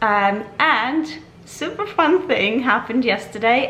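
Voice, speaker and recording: A woman speaks in an enthusiastic tone with very wide pitch swings. Audible room echo surrounds her voice. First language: Ukrainian or Russian. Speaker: vlogger. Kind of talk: casual vlog talk to camera. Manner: chatty, enthusiastic.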